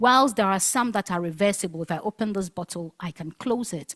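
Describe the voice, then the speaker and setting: A woman with a Ghanaian accent speaks at a medium pitch with ordinary pitch variation, her voice dry and close with no echo on a very clean recording over a silent background. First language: Asante Twi. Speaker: linguist researcher. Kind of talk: conference talk.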